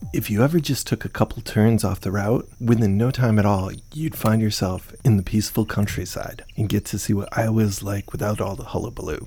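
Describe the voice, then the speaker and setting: Speaking in an American accent, a man with a dark, mellow tone talks at a fairly quick pace with hardly any pauses and ordinary pitch variation. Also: fairly low pitch for a man. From Connecticut. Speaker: podcast host. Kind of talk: scripted narration with interviews.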